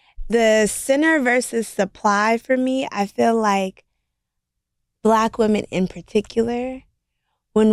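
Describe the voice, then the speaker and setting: A woman speaks very slowly with an American accent and ordinary pitch variation. The recording is very clean, with a silent background. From Los Angeles, US. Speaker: beauty store owner. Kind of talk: casual chat.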